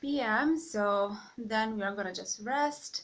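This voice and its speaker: A woman's bright, sharp voice at a very slow pace, with ordinary pitch variation and audible room echo. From East Ukraine. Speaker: vlogger. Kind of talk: casual vlog narration. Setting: home kitchen. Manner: halting, with fillers.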